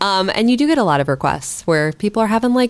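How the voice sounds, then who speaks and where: With an American accent, a woman speaks at a fairly quick pace and fairly high pitch, her pitch swinging very widely. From US Midwest. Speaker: social media producer. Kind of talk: casual chat.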